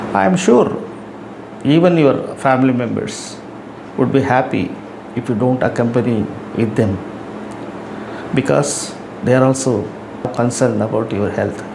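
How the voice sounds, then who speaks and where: Pausing long and often, a man speaks at a medium pitch with lively intonation. Noticeable background noise and audible room echo fill the recording. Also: moderate pace. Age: 70s. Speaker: YouTuber giving life advice. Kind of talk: talking-head advice monologue.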